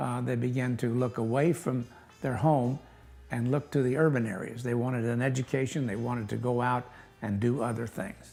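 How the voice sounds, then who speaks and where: Fairly even intonation with an American accent, a moderate pace, and music in the background. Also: man. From US Midwest, west-central Illinois. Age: 70s. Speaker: local historical society officer. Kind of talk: interview. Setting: museum. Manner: halting, many fillers.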